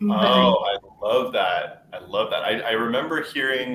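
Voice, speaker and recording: Background noise is noticeable. Over it, a man talks with an American accent. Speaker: webinar host. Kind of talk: panel discussion.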